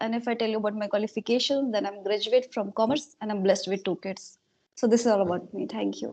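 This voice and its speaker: Talking at a very fast pace, a woman with an Indian accent has a fairly high pitch, a dark, mellow tone and ordinary pitch variation. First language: Hindi. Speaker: homemaker and YouTuber. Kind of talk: casual conversation practice.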